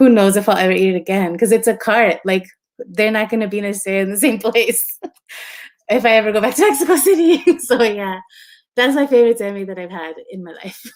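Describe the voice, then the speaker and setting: This woman talks very fast in a Spanish accent, her fairly high voice moving with lively intonation and big swings in loudness. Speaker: photographer and book publisher. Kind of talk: interview conversation. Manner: casual, filler-heavy.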